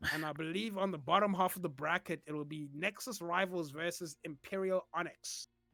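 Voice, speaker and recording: With a non-native accent, a man speaks fairly quickly and with hardly any pauses in a bright, sharp, high voice, his intonation fairly even and the sound dry and close with no echo. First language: not English. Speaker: esports caster. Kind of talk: live commentary. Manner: halting.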